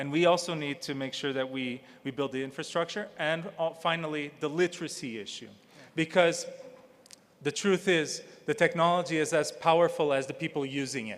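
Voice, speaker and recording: Fairly high-pitched man in a Portuguese accent, fairly quick pace, ordinary pitch variation. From Portugal. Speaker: health AI nonprofit leader, former politician. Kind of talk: conference panel talk.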